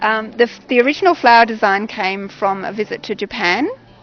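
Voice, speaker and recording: Amid noticeable background noise, a woman with an Australian accent talks at a fairly quick pace and medium pitch. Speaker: quilt artist. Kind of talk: explaining own work.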